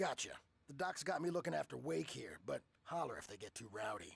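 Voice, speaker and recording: Putting on a raspy character voice, a man speaks at a fairly high pitch and a fairly quick pace in a dry, close sound with no echo. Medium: video game.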